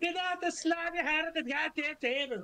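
A man uses a put-on character voice, squeaky and extremely high in pitch. He talks at a moderate pace.

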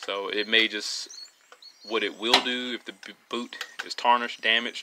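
Light background noise sits behind the voice. The pace is moderate. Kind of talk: tutorial. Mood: relaxed, casual. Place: garage.

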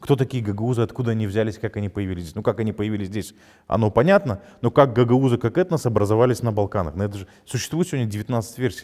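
Talking at a very fast pace, a man shows a dark, mellow tone, ordinary pitch variation and big swings in loudness. The background is quiet. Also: medium pitch for a man. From Gagauzia, Moldova; Moldova. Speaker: journalist, head of a news site. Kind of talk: interview. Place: studio. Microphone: lapel.

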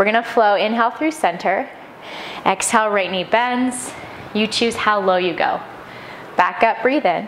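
Light background noise can be heard as a woman speaks. Her pace is moderate and her pitch varies in an ordinary way. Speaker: yoga instructor. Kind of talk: guided yoga class with breath cues. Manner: rhythmic breath-paced cueing, short commands; calm, gentle and encouraging. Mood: calm, soothing. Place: home room.

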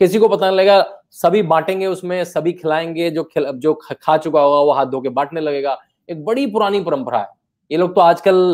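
The man keeps a moderate pace, and the background is quiet. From Uttarakhand, India (Rishikesh); Uttarakhand, India. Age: 40s. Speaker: author; guest. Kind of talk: interview. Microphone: earbuds.

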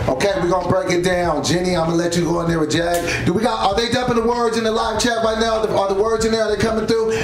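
Very fast and with hardly any pauses, a man talks at a high pitch with ordinary pitch variation, audible room echo and music in the background. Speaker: show host. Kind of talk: casual show hosting banter. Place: studio.

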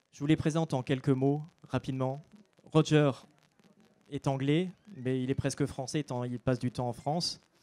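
A man with a fairly high voice and a dark, mellow tone speaks at a moderate pace with fairly even intonation, leaving long, frequent pauses. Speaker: book blogger, panel moderator. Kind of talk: panel moderation at book fair. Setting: stage with audience. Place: stage. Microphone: handheld.

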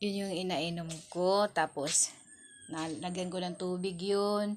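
A woman with a fairly low pitch speaks on a very clean recording with a silent background. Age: 30s. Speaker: vlogger. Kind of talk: casual vlog talk. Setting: kitchen at home.

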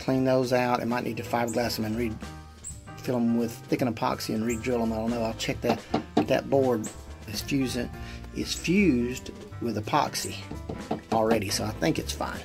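Clear music plays in the background as the speaker goes at a moderate pace with ordinary pitch variation. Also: man. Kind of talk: casual DIY walkthrough narration. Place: boat. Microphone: phone near.

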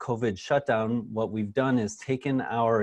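Against a quiet background, a man speaks with fairly even intonation in a dry sound with no echo. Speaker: webinar host. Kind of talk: webinar presentation. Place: office. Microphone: lapel.

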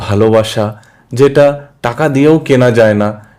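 On a very clean recording with a silent background, a man with a slight Hindi accent speaks at a medium pitch in a dark, mellow tone with fairly even intonation. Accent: slight Hindi accent in Bengali. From Mumbai, India. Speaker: social worker and aspiring politician. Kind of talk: interview.

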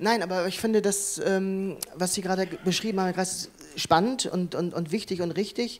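Intonation is fairly even throughout. The speaking pace runs fairly quick. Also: man. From Hamburg, northern Germany. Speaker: accessibility consultant and dancer. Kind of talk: panel discussion. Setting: conference hall with audience. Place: hall. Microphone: handheld.

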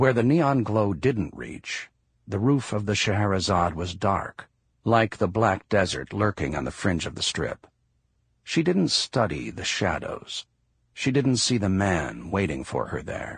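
Vocal fry from a man with a fairly low pitch and very wide pitch swings. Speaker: audiobook narrator. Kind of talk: audiobook narration.

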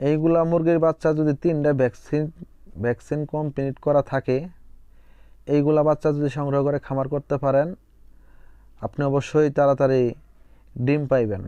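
A man's voice, dark and mellow in tone, sits at a fairly high pitch. His intonation is monotone and flat, with a dry, close sound and no echo. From Bangladesh, Jamalpur. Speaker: poultry farmer and YouTuber. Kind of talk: farm vlog tutorial.

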